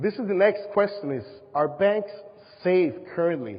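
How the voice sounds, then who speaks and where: A man with a Spanish accent. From Panama. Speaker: presenter, safety box business. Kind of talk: presentation to an audience. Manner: halting.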